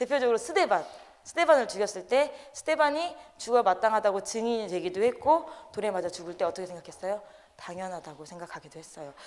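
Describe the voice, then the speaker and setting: Rushing at a very fast pace, a woman at medium pitch moves through very wide pitch swings. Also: big swings in loudness. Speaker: lay preacher. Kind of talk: sermon.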